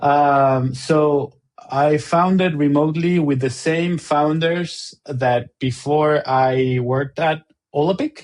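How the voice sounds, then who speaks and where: Very slow speech in an Argentine accent, with fairly even intonation and very even loudness. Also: man, fairly high pitch for a man. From Argentina. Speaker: tech company co-founder and CTO. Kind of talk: podcast interview. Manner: halting, many fillers and repeats.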